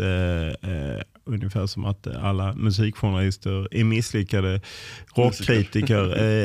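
A man with a plain, everyday voice, fairly low in pitch, with ordinary pitch variation, on a very clean recording with a silent background. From southern Sweden (Lund, Skåne). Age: 50s. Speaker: football journalist. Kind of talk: interview.

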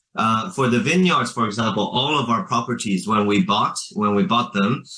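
With an American accent, a man speaks at a medium pitch, his voice making very wide pitch swings. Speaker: businessman. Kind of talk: interview.

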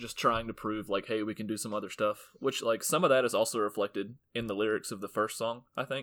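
At a fairly quick pace, a man uses an ordinary speaking voice, his medium pitch carried in fairly even intonation. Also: very clean recording, silent background. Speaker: guest album picker. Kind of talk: casual chat about music.

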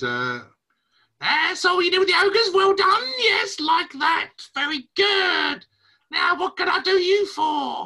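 An extremely high-pitched, put-on character voice at a fairly slow pace. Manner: chirpy, chatty, gleeful.

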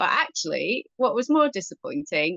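The sound is dry and close with no echo as a woman speaks at a moderate pace, her tone bright and sharp and her intonation lively. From northern England, Cheshire. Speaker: cricket journalist and amateur player. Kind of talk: casual interview chat.

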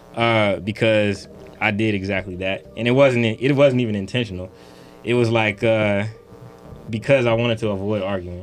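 Using an unremarkable speaking voice, a man talks at a moderate pace and a fairly low pitch with fairly even intonation. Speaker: podcast co-host. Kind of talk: casual panel chat.

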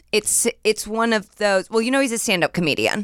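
A woman with a normal speaking voice, fairly high in pitch, with ordinary pitch variation. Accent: American. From Indiana, US Midwest. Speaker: comedian. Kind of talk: casual chat.

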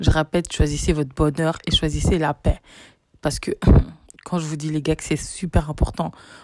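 A woman with a fairly low pitch and an animated tone, at a moderate pace, with big swings in loudness and a dry, close, echo-free sound. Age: 20s. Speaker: podcast host. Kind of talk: casual monologue.

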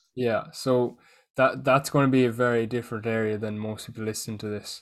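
A man with an Irish accent speaks at a medium pitch in a monotone, flat intonation, on a very clean recording with a silent background. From Ireland. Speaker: fitness coach. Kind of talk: casual chat.

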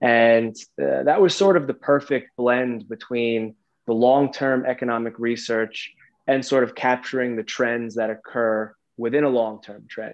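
In an American accent, a man with a plain, everyday voice speaks at a medium pitch and a fairly slow pace with ordinary pitch variation. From New York. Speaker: macroeconomic research analyst. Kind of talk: interview. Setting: video call.

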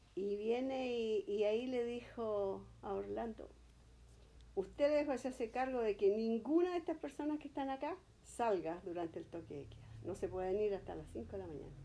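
A Chilean-accented woman with a fairly high, dark, mellow voice speaks at a moderate pace. Her pitch swings very widely and her loudness swings a lot. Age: 70s. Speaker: grandmother interviewed by grandson. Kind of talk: oral history interview.

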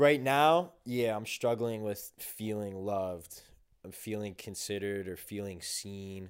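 Heard in a very clean recording with a silent background, a man with an American accent has a plain, everyday voice, a fairly low pitch, ordinary pitch variation and big swings in loudness. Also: fairly slow pace. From New Jersey, Essex County (Caldwell). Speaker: college student. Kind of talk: casual chat.

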